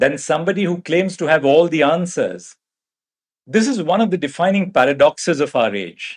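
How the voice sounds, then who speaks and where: Speaking at a moderate pace with an Indian accent, a man uses lively intonation and a high pitch for a man. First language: Marathi. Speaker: judge. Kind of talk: convocation address. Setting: convocation hall with audience. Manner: formal.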